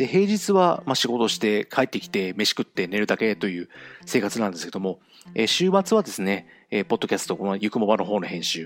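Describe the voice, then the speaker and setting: At a fairly quick pace, a man talks in a fairly low voice with ordinary pitch variation. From Japan, Fukuoka (Kyushu). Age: 40s. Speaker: podcast host. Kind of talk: solo monologue podcast. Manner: fast talker; nervous, hesitant with many fillers.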